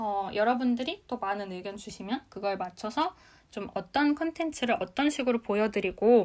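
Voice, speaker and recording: Speaking at a moderate pace, a woman with an unremarkable speaking voice uses lively intonation at a fairly high pitch. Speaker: business talk show host. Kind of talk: live audio room lecture. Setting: live audio chat room broadcast.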